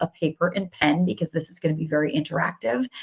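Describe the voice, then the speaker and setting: Somewhat breathy, a woman with a fairly low pitch speaks at a very fast pace. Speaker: business coach. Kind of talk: live stream coaching session. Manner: animated.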